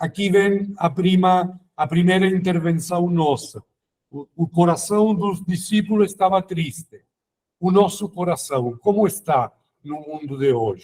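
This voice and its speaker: Speaking at a fairly slow pace, a man with a non-native accent has a high pitch and ordinary pitch variation. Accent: foreign accent in Portuguese. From Italy, near Rome, raised in Germany. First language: Italian (speaking Portuguese). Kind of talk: formation talk. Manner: halting.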